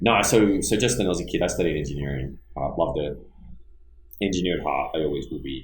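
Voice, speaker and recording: A man with an Australian accent speaks very fast in a very deep, low voice with lively intonation. Room echo is audible. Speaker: business entrepreneur and engineer. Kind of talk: casual podcast interview.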